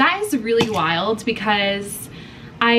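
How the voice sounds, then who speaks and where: A woman speaks with an American accent. Audible room echo and noticeable background noise are present. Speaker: lifestyle vlogger. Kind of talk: casual vlog talk to camera. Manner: animated.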